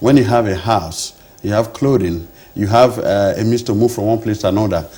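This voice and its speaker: A man speaks at a moderate pace in a fairly low, somewhat breathy voice with a dark, mellow tone. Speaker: doctor running free rural healthcare charity. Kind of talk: interview. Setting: studio. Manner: hesitant, many fillers and restarts.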